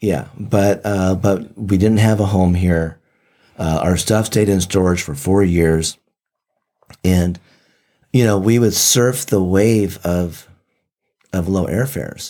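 A man's very deep, low voice with a dark, mellow tone, a very slow pace, ordinary pitch variation and long, frequent pauses. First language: Japanese. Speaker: medical tourism traveler and guest. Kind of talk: casual chat. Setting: studio.

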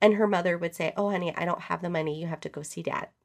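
The recording is very clean and the background silent. A woman's voice sits at a fairly low pitch. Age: 40s. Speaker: podcast host and business consultant. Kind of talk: casual solo podcast talk. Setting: home office, audio-only podcast. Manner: animated.

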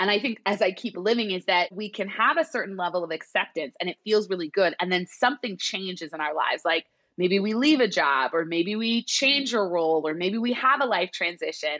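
Lively intonation and a bright, sharp tone in a dry, close sound with no echo. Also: woman. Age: 30s. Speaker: psychologist and therapist. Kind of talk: casual interview chat.

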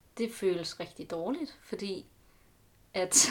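A woman speaks at a medium pitch with vocal fry. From Denmark, Aarhus. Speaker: student. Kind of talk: casual interview. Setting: at home, sitting on the floor. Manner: halting.

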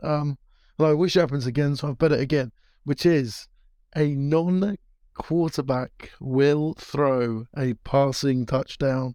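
With a British accent, a man speaks at a very slow pace in a fairly high pitch and a dark, mellow tone, with fairly even intonation and a dry, close sound with no echo against a quiet background. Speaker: podcast co-host. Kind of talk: casual chat. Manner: halting.

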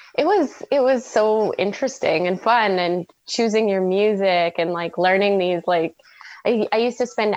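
In a Canadian accent, a woman talks in an ordinary speaking voice, the sound dry and close with no echo. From Canada. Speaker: former Olympic aerial skier. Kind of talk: interview.

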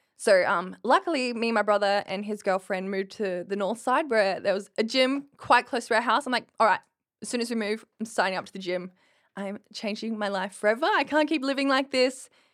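A woman with an Australian accent talks at a fairly quick pace and a fairly high pitch, with ordinary pitch variation, in a very clean recording with a silent background. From rural Queensland, Australia. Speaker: bodybuilding competitor. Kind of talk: casual interview.

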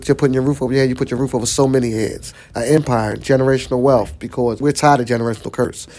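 A man with a Philadelphia accent talks at a very fast pace with hardly any pauses. His pitch is medium and his intonation fairly even. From South Philadelphia. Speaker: nonprofit executive director. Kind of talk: interview.

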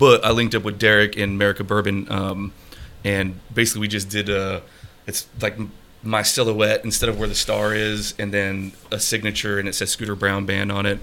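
Against noticeable background noise, a man talks at a moderate pace, his fairly low pitch held in monotone, flat intonation. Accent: American. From Colorado. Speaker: country musician and military veteran. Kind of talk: casual interview chat. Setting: studio, streamed on Facebook Live.

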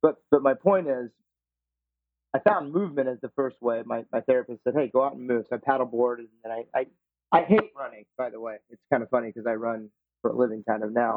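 A man with an unremarkable speaking voice, medium in pitch, fairly quick, with ordinary pitch variation and big swings in loudness. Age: 40s. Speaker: life and running coach. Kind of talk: interview conversation.

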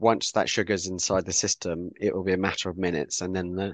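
A man with a southern English accent, very deep and low in pitch, fairly quick and monotone with flat intonation, in a dry, close sound with no echo and a quiet background. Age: 50s. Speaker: author and communications specialist with cystic fibrosis. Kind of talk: interview.

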